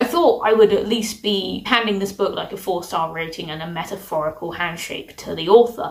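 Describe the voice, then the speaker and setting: A woman with a British accent at a medium pitch, ordinary pitch variation, big swings in loudness, a fairly quick pace, and noticeable background noise. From UK. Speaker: book reviewer. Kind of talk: casual review monologue.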